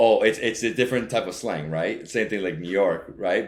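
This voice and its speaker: Audible room echo around a male voice, its pitch varying in an ordinary way. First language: Spanish. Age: 30s. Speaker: travel vlogger. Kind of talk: interview. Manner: many fillers and restarts.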